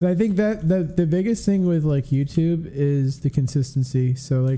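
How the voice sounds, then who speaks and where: A man's fairly high, somewhat breathy voice has a dark, mellow tone and very even loudness. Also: ordinary pitch variation, moderate pace. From North America. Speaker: streamer. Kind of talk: casual chat. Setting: livestream.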